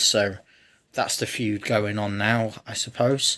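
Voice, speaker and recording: Quiet and monotone, a man with a fairly low voice speaks at a very slow pace with flat intonation. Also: very clean recording, silent background. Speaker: wrestling reaction youtuber. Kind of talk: casual video review. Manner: speaking quietly; hesitant, self-correcting.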